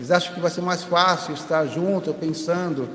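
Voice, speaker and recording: A man's high-pitched voice at a fairly quick pace, with fairly even intonation, audible room echo and noticeable background noise. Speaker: spiritist lecturer. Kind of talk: lecture. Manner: fast.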